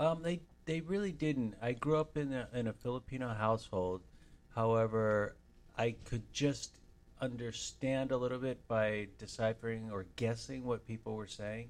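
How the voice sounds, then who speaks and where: A man with an American accent speaks at a medium pitch and a moderate pace, using ordinary pitch variation. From Los Angeles. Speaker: aspiring actor. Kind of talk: interview. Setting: studio.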